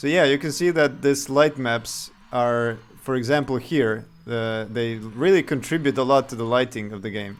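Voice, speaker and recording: A man speaks at a moderate pace with a medium pitch and ordinary pitch variation. He has a slight Serbian accent. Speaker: game developer streamer. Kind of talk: live game dev stream. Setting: live stream. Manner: halting.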